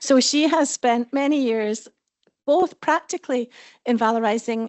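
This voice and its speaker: A woman with a Scottish accent. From Scotland. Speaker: panel moderator, head of professional association. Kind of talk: conference panel moderation. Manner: fast.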